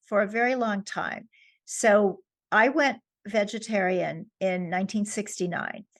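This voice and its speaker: Speaking in a New York accent, a woman uses a medium pitch with ordinary pitch variation. Her pace is fairly slow, and the background is quiet. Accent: New York American. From US, New York. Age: 70s. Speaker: author. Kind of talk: interview. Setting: podcast.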